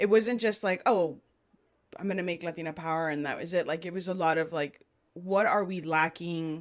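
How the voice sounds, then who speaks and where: A woman with an American accent speaks at a moderate pace and fairly even intonation. The recording is very clean, with a silent background. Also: fairly low pitch for a woman. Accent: South Texas Mexican American English. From Brownsville, Texas. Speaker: business co-founder. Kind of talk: interview conversation.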